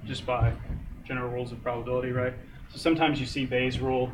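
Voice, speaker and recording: A man's medium-pitched, monotone, flat delivery at a fairly quick pace, with audible room echo. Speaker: teaching assistant. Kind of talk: lecture.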